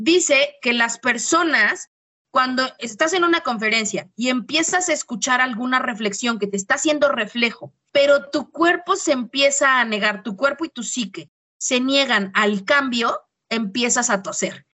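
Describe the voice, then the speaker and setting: A woman speaks at a moderate pace in a high voice, with a Mexican accent. Her tone is animated and her intonation lively. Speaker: podcast co-host, teacher. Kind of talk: casual chat.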